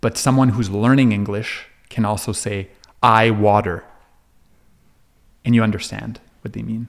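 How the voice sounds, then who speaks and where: In a French accent, a man speaks with a fairly low pitch and monotone, flat intonation, leaving long, frequent pauses. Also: moderate pace. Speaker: counselor. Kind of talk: podcast interview. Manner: halting, many false starts.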